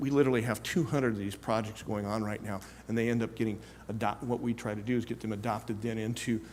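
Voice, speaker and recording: A man at a medium pitch speaks very fast with fairly even intonation, and there is audible room echo. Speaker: conference speaker, tech industry executive. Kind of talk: conference talk.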